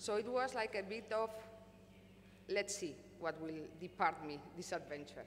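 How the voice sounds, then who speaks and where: A woman is speaking. She has a Spanish accent. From Spain. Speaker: company executive. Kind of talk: conference panel talk. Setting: stage with audience.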